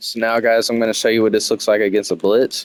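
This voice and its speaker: A man with a medium-pitched voice talks at a fairly quick pace. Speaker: video game tutorial creator. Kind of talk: tutorial. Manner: fast.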